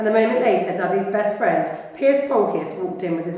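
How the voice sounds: Lively intonation in a natural reading voice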